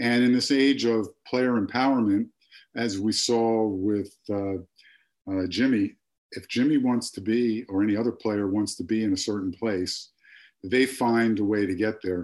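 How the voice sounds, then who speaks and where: Speaking with an American accent, a man has a fairly low pitch and fairly even intonation. His pace is fairly slow, over a quiet background. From Philadelphia, US. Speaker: realtor. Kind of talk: casual interview. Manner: halting, many fillers.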